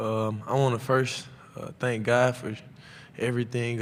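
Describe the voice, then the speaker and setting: A man's medium-pitched, monotone, flat delivery amid audible room echo. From Atlanta, Georgia (US South). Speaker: college football player. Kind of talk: press conference Q&A. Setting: media day press room. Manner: loud; casual, halting with fillers.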